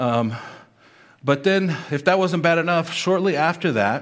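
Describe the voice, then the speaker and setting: A normal speaking voice from a man, fairly quick in pace and lively in intonation. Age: 50s. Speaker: pastor. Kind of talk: sermon.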